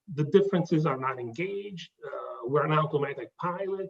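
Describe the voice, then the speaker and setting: The pitch varies in an ordinary way. This man's pace is moderate. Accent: slight Italian. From southern Italy. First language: Italian. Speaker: consultant presenting his business. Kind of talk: business presentation. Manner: halting, many fillers.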